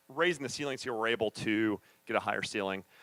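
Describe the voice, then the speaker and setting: With a dry, close sound and no echo, a man speaks at a medium pitch with ordinary pitch variation. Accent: American. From US South. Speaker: architect. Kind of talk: presentation talk to an audience. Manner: fast; casual, joking.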